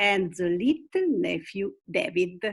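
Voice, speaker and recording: With an Italian accent, a woman talks very slowly at a medium pitch, her voice swinging very widely up and down. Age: 70s. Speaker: retired teacher and club leader. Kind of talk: video call interview.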